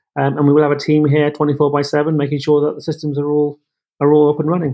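A man speaks in a fairly high pitch with an English accent. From England. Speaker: tech executive. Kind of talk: interview. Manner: hesitant, repeats words.

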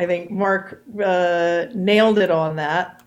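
A woman speaks at a very slow pace with ordinary pitch variation. Music plays in the background. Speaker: volunteer club member. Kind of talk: casual interview.

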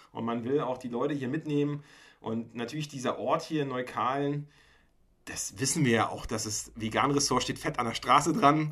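A man's unremarkable speaking voice, fairly high in pitch, at a moderate pace with fairly even intonation. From Mecklenburg-Vorpommern, Germany. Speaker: podcast host. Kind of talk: casual chat.

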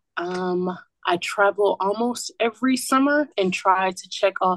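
A plain, everyday voice from a woman with an American accent, medium pitch, ordinary pitch variation, and a dry, close sound with no echo. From US South, Atlanta, Georgia. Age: young. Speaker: student podcast host. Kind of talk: casual interview.

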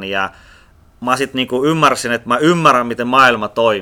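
His tone is bright and sharp. This man speaks at a medium pitch. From Russia. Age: 30s. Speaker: entrepreneur. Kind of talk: casual interview.

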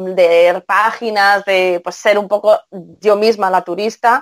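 A woman in a Castilian accent, medium pitch, very slow pace and ordinary pitch variation. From Spain. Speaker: translator. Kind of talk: interview.

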